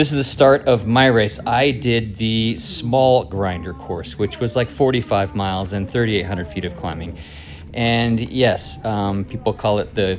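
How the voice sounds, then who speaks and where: With music in the background, a man speaks fairly slowly at a fairly low pitch with ordinary pitch variation. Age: 50s. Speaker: cycling vlogger. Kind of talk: video narration.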